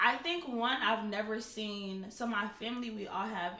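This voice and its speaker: Noticeable background noise and audible room echo fill the recording. A woman speaks with fairly even intonation. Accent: American. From Nigeria, then St. Louis, Missouri from age 8. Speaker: chef and caterer. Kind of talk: podcast interview.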